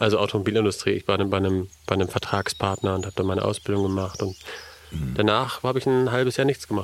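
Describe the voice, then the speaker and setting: Ordinary variation marks the pitch. The delivery is very fast. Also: man, fairly low pitch for a man. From Elmshorn, northern Germany. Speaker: businessman. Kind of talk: casual chat.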